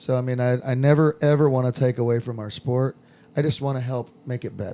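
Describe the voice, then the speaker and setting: His tone is dark and mellow, at a medium pitch with ordinary pitch variation. The man keeps a moderate pace. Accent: American. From Southern California. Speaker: skydiving instructor. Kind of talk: casual chat.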